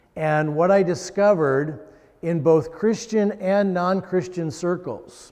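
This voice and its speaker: Over noticeable background noise, a man talks at a very slow pace. His pitch is high, with ordinary pitch variation. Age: 60s. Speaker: lay preacher. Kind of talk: sermon. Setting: church. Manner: hesitant.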